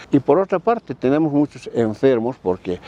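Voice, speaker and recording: At a moderate pace, a man with a dark, mellow tone and a medium pitch makes very wide pitch swings, recorded with a dry, close sound and no echo. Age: 70s. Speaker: former political prisoner. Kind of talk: interview testimony.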